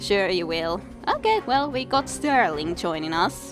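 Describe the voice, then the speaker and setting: Music plays behind a woman who is speaking. She talks at a very slow pace. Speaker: let's play gamer. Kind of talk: video game commentary. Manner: casual.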